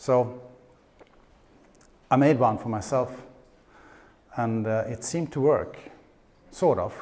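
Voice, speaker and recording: A man with a Swedish accent talks at a fairly slow pace and medium pitch. His intonation is fairly even, and audible room echo surrounds him. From Sweden. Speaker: conference speaker, paleo nutritionist. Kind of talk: conference presentation. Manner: halting with repetitions.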